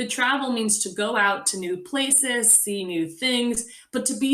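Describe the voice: Reading aloud, plain and simple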